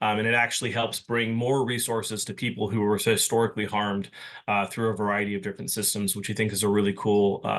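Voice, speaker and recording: A man with a fairly low pitch, speaking very fast with hardly any pauses, against a quiet background. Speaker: county program staff presenter. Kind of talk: presentation. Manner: animated.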